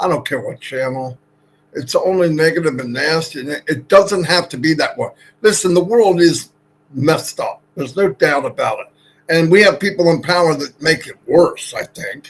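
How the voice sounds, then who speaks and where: The pace of a man's speech is moderate. His volume rises and falls sharply. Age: 60s. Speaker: network marketing promoter. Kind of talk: motivational pitch on a livestream.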